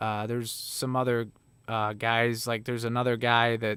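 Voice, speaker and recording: A man at a moderate pace with a slight Chicago accent. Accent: Chicago Midwestern, slight. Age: 30s. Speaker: livestreamer, former touring musician. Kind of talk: casual livestream chat. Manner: casual, filler-heavy.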